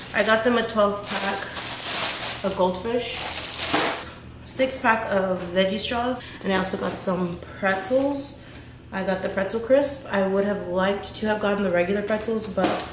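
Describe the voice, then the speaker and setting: A woman speaks at a moderate pace with fairly even intonation and long, frequent pauses. Noticeable background noise sits behind her. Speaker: mom vlogger. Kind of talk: casual vlog chat. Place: kitchen. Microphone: camera far.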